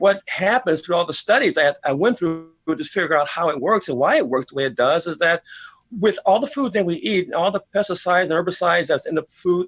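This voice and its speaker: A high-pitched man at a fairly quick pace, ordinary pitch variation, dry, close sound with no echo and music in the background. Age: 60s. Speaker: bodybuilder and kinesiologist. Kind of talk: TV interview. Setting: studio.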